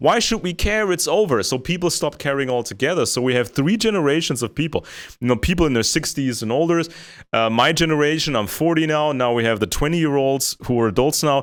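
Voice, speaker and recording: In a very clean recording with a silent background, a man with an American accent and a fairly high pitch races along very fast with lively intonation. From Germany. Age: 40s. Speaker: co-host on geopolitics show. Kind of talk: casual discussion. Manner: repetitive, halting.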